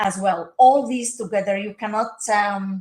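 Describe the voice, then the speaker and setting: This woman speaks with an Arabic accent and ordinary pitch variation. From Palestine. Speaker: social work professor. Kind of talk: interview. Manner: halting, many fillers.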